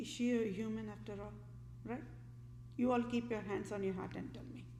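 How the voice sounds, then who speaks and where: Audible room echo hangs on a woman as she speaks. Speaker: vlogger. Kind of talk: political rant monologue.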